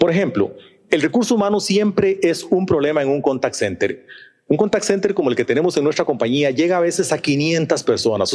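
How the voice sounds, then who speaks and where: Fairly high for a man, this voice moves at a fairly quick pace. His intonation is lively. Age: 60s. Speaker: business executive, conference speaker. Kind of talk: conference talk. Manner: talkative.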